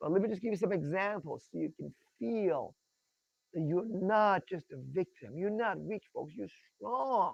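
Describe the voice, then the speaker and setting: Heard in a dry, close sound with no echo, a man with a high pitch speaks at a moderate pace in an animated tone with lively intonation. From Iran. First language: Persian. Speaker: tax rights educator. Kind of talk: presentation with screen share.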